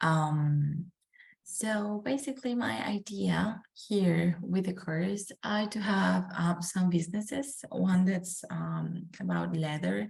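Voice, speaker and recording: A soft-spoken woman with a Spanish accent talks at a very slow pace in a somewhat breathy voice of medium pitch. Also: lively intonation. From Colombia, Medellin. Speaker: student. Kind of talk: class self-introduction. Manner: hesitant, many fillers.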